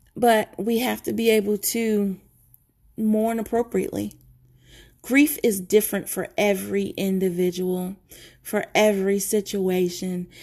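On a very clean recording with a silent background, a woman speaks at a fairly high pitch. Her pitch varies in an ordinary way. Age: 40s. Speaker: mental health podcast host. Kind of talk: personal monologue.

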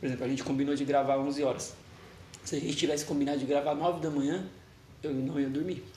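In a room with audible echo and noticeable background noise, a man with a fairly high pitch talks very fast but leaves long, frequent pauses. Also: fairly even intonation. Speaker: podcast co-host. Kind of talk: casual chat.

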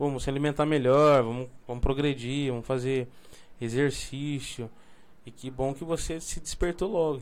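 Speaking in an unremarkable speaking voice, a man keeps a moderate tempo and a fairly flat intonation. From Brazil, São Paulo. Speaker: podcast host. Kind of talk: casual chat.

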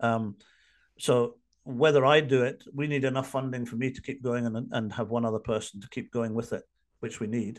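With a Scottish accent, a man talks in a medium pitch and a fairly even intonation against a quiet background. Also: moderate pace. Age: 50s. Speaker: addiction recovery coach. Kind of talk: interview. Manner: halting.

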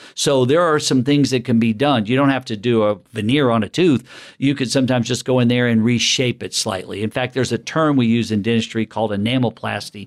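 A man speaks very fast in a Southern US accent. His pitch is medium with ordinary variation. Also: hardly any pauses. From US South, Alabama. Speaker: dentist. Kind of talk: interview. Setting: dental office.

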